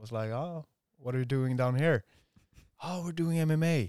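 A man's dark, mellow voice shows ordinary pitch variation in a dry, close sound with no echo. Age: 30s. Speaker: jiu-jitsu athlete. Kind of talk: casual chat. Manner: halting.

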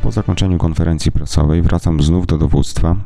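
At a fairly quick clip, a man speaks with a very deep, low pitch. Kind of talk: scripted narration of historical events. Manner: formal, measured, grave delivery.

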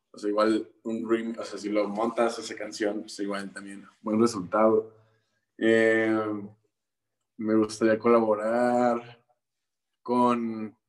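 A man speaks at medium pitch in a monotone, flat delivery with big swings in loudness. His pace is very slow, with long, frequent pauses. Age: 20s. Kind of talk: interview. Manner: hesitant, many fillers.

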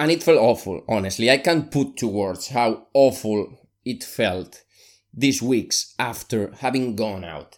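With a Spanish accent, the speaker uses lively intonation at a fairly slow pace in a very clean recording with a silent background. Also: man, medium pitch for a man. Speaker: podcast host, solopreneur. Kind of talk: solo monologue, personal podcast episode.

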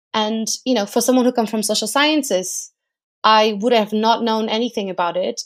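A woman with a Portuguese accent at a fairly high pitch and fairly even intonation, on a very clean recording with a silent background. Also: fairly quick pace. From Portugal. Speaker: research analyst. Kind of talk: interview.

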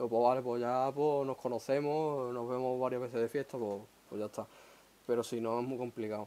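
Talking at a fairly quick pace, a man with an Andalusian accent holds a medium pitch. His intonation is flat and monotone. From Huelva, Andalusia. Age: 20s. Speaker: podcast host. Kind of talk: casual chat.

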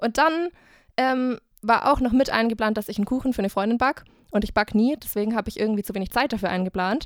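Over a silent background in a very clean recording, a woman speaks very fast in a fairly high voice with ordinary pitch variation and a dry, close sound with no echo. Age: 20s. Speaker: student and podcaster. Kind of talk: casual chat.

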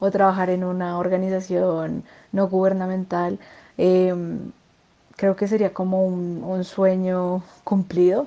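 A woman talks at a very slow pace with long, frequent pauses. Her medium-pitched voice has a dark, mellow tone and monotone, flat intonation. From Bogotá, Colombia. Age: 20s. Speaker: interviewee, law graduate. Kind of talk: interview. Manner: halting.

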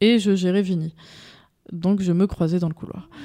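A woman's dark, mellow, medium-pitched voice with ordinary pitch variation, on a very clean recording with a silent background. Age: 30s. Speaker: digital media entrepreneur. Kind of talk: interview.

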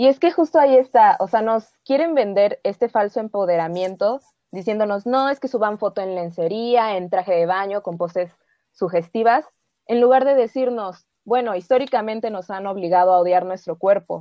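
The voice has a dark, mellow tone, a moderate pace and ordinary pitch variation. The sound is dry and close with no echo, in a very clean recording with a silent background. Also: woman, medium pitch for a woman. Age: 20s. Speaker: film worker. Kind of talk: casual chat.

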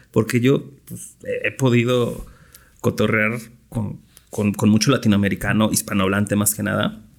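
A man talks at a fairly low pitch and a moderate pace. His intonation is fairly even, and vocal fry comes through. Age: 30s. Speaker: craft beer brewer. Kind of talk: casual chat.

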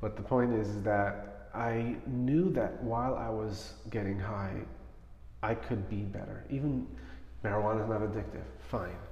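Lively intonation from a man with an American accent and a fairly low pitch, at a moderate pace, with noticeable background noise and audible room echo. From Brooklyn, New York (Crown Heights). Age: 30s. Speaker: life coach. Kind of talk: interview about addiction and recovery.

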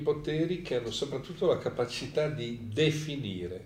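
A man speaks at a fairly slow pace with a fairly high pitch and lively intonation. Noticeable background noise sits behind him. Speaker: moderator. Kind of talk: moderated discussion.

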